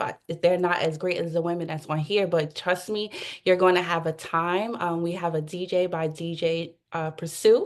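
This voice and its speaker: This woman has a fairly low pitch and an ordinary speaking voice. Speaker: event planner. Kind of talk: panel discussion.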